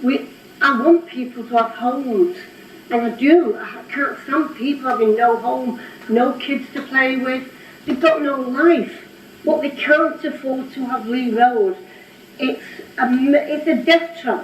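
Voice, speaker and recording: A woman speaks at a high pitch and a fairly slow pace, her voice shaky with ordinary pitch variation. There is audible room echo and noticeable background noise. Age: 80s+. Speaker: local resident objector. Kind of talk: public comment at council meeting. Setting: council meeting room. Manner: trembling, emotional.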